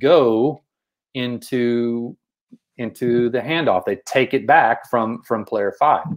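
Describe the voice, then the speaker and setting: Speaking with a Texas accent at a very slow pace, the voice shows ordinary pitch variation. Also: man. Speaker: basketball coach and show co-host. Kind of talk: coaching discussion explaining plays. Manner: repeats words, many false starts.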